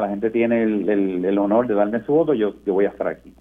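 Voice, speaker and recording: A man speaks in a normal speaking voice at a moderate pace. His pitch sits fairly low. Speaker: senator. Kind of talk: radio interview.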